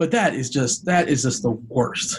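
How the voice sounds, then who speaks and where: With some breathiness, a man talks and his pitch moves in an ordinary way. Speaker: fantasy sports podcast host. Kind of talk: casual chat.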